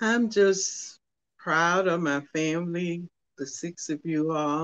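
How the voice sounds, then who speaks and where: A woman with a Southern US accent, a fairly low voice, and ordinary pitch variation. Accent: Southern US (Georgia). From US South, rural southwest Georgia. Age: 80s+. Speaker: poet and author. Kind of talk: interview. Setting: radio studio.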